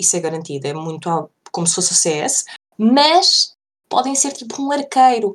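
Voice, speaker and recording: A woman at a fairly slow pace, very wide pitch swings, in a very clean recording with a silent background. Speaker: podcast co-host. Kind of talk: casual chat.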